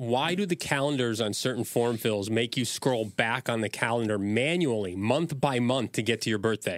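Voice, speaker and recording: A man with a plain, everyday voice speaks at a moderate pace in a medium pitch with ordinary pitch variation. His loudness stays very even, with hardly any pauses. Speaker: podcast host. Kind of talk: casual podcast banter.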